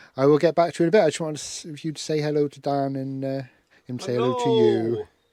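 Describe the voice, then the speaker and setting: A man with an English accent talks at a very fast pace in a fairly high, dark, mellow voice. His pitch varies in an ordinary way while his loudness swings widely. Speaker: campervan vlogger. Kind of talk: casual vlog. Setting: outdoors at campsite field.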